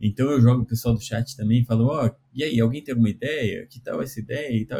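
A man at a medium pitch talks at a fairly quick pace, somewhat breathy and dark and mellow in tone, with ordinary pitch variation. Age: 40s. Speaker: cartoonist and programming teacher. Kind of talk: casual interview.

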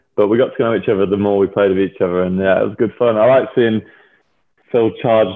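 A man with an English accent speaks at a fairly low pitch, keeping his intonation fairly even. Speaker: professional rugby player. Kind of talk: casual chat. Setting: video call.

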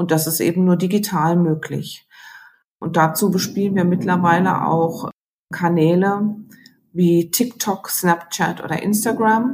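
A somewhat breathy woman's voice of fairly low pitch, at a fairly slow pace with ordinary pitch variation. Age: 50s. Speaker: newspaper editor. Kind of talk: interview.

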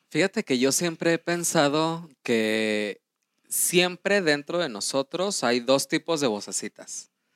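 A man with a Mexican accent talks at a very slow pace, his pitch fairly high and his intonation lively. The recording is very clean, with a silent background. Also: dry, close sound with no echo. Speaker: podcast co-host. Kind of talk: casual chat.

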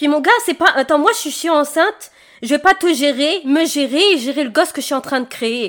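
A woman speaks in a high voice at a moderate pace, captured in a very clean recording with a silent background. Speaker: podcast co-host. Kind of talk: casual chat.

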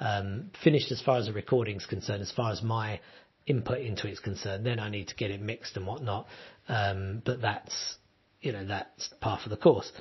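A man's fairly low voice comes across as somewhat breathy. He talks at a fairly quick pace with fairly even intonation. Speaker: podcaster and musician. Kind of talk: solo podcast monologue, casual and rambling. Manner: rambling, conversational.

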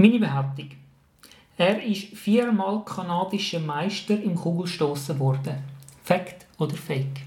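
A man with a Swiss accent and high pitch, fairly slow with long, frequent pauses and ordinary pitch variation, amid noticeable background noise and audible room echo. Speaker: podcast host, teacher. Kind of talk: casual game-show chat.

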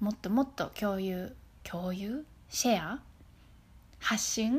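Her voice has a fairly high pitch. This woman sounds somewhat breathy. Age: 30s. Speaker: podcast host. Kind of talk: casual motivational monologue. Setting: outdoors in a forest. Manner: relaxed, natural; halting.

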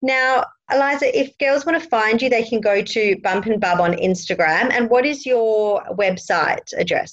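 A woman talks at a moderate pace with hardly any pauses and very even loudness. Her fairly high voice has lively intonation. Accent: Australian. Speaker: midwife and lactation consultant, podcast host. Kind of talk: interview chat.

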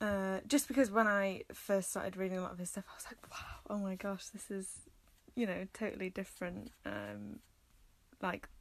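A woman speaks at a moderate pace in a North Welsh accent. Her pitch is medium and her intonation fairly even. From North Wales. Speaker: human geography graduate. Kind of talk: casual chat. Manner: hesitant, many fillers.

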